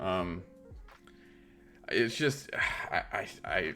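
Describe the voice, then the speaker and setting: With music playing in the background, a man speaks with lively intonation. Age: 40s. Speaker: crypto streamer. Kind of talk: interview. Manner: animated.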